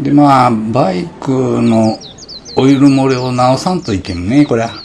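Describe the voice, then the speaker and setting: A man with a Hiroshima accent at a fairly slow pace, ordinary pitch variation and a relaxed tone, with light background noise. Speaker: motorbike touring vlogger. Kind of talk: casual vlog narration. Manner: relaxed, easygoing. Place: open country. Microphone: phone near.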